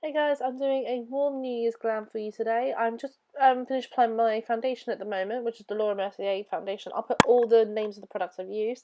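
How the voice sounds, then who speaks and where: With fairly even intonation, a woman's speech races by very fast. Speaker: beauty vlogger. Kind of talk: makeup tutorial. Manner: casual, hesitant.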